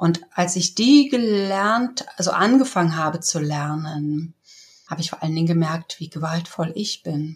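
A woman has a plain, everyday voice, fairly low in pitch. She talks at a fairly slow pace with lively intonation. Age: 60s. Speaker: communication trainer. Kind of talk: interview.

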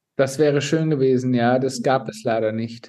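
A plain, everyday voice with fairly even intonation, moving at a fairly slow pace. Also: man. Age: 40s. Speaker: flight attendant and influencer. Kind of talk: personal testimony.

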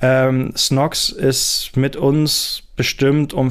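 In a flat monotone, a man speaks at a medium pitch. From Germany, Lake Constance. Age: 20s. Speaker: startup founder and CEO. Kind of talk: interview.

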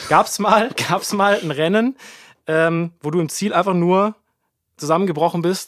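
In a very clean recording with a silent background, a man speaks at a moderate pace with a high pitch and ordinary pitch variation. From Baden-Württemberg, Bretten. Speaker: podcast host. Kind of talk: casual chat. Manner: animated.

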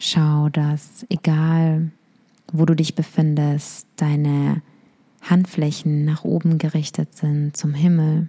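A woman speaks at a very slow pace in a very deep, low voice with monotone, flat intonation. Her tone is dark, mellow, calm and soothing, and somewhat breathy. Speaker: meditation guide. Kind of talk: guided meditation. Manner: slow, calm, soothing; gentle, instructive, intimate.

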